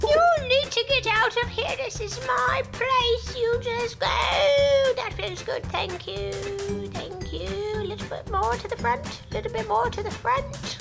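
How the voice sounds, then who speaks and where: Over loud music in the background, a put-on character voice speaks at a fairly slow pace. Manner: bossy, territorial.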